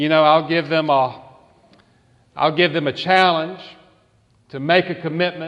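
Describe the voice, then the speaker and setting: Delivery comes at a moderate pace. The accent is Southern US. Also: man. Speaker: pastor. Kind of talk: sermon. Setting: church.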